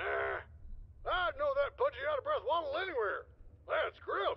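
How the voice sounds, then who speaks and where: A put-on character voice, extremely high, swings very widely in pitch. It moves at a moderate pace over light background noise. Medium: video game. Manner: gruff, folksy.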